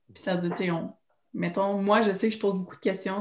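A woman speaks in a monotone with flat intonation. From Quebec, Trois-Rivières. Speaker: occupational therapy student. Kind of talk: casual chat.

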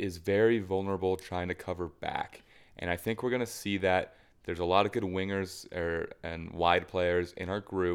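On a very clean recording with a silent background, a man speaks with a normal speaking voice. He is pitched fairly low, with ordinary pitch variation at a moderate pace. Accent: American. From United States. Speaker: football podcast co-host. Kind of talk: casual chat.

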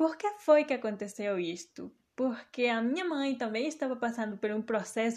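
Ordinary pitch variation shapes a woman's fairly high-pitched voice. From Mexico. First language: Spanish (speaking Portuguese). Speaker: podcast host. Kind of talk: personal monologue.

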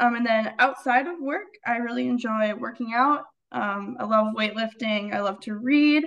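At a moderate pace, an unremarkable speaking voice talks with an American accent. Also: woman, fairly high pitch for a woman, ordinary pitch variation. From Minnesota. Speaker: finance professional and money coach. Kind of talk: casual interview.

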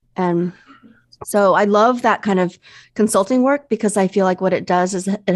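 A woman with a normal speaking voice and an American accent speaks at a moderate pace and medium pitch, with ordinary pitch variation against a quiet background. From US Midwest. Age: 50s. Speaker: business coach and consultant. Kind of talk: interview conversation.

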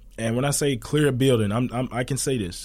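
Talking fairly quickly, a man with an unremarkable speaking voice keeps his pitch variation ordinary. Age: 20s. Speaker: police officer. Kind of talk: interview.

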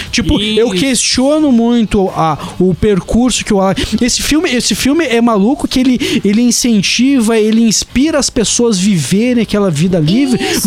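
A man talks at an extremely high pitch with ordinary pitch variation. Background noise is noticeable. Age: 30s. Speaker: podcast co-host. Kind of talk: casual chat. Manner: halting.

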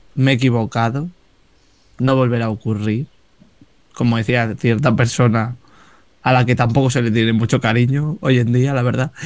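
A man's medium-pitched voice at a moderate pace, very even in loudness, with long, frequent pauses. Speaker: podcast co-host. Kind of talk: casual chat. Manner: animated.

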